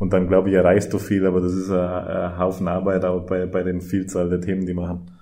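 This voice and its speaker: A man with a very deep, low pitch and a dark, mellow tone speaks at a very fast pace with hardly any pauses. His intonation is monotone and flat, and the room echo is audible. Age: 30s. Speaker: mayor. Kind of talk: casual chat.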